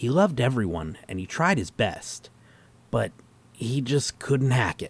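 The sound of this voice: Slowish and a bit husky, a man puts on a character voice at medium pitch with big pitch swings.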